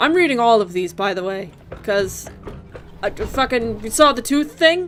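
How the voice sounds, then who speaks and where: Backed by music, a woman with a fairly high pitch and lively intonation speaks at a moderate pace. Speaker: gaming video creator. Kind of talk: let's play commentary with reading aloud of in-game text.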